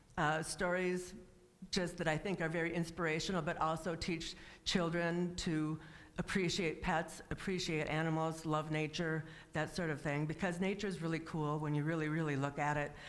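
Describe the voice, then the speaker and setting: Heard with audible room echo, a woman of fairly low pitch keeps a moderate pace, very even loudness and a monotone, flat intonation. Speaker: guest speaker and author. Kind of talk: personal testimony talk.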